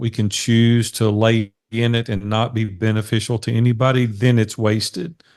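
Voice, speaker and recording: Against a quiet background, a man with an unremarkable speaking voice speaks at a medium pitch and a moderate pace. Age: 60s. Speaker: business coach. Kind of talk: interview. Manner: earnest.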